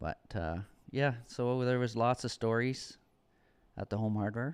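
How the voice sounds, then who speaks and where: Recorded very cleanly with a silent background and a dry, close sound with no echo, a man with an unremarkable speaking voice talks at a fairly slow pace and medium pitch with ordinary pitch variation. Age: 50s. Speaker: custom home builder, furniture business partner. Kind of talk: casual chat.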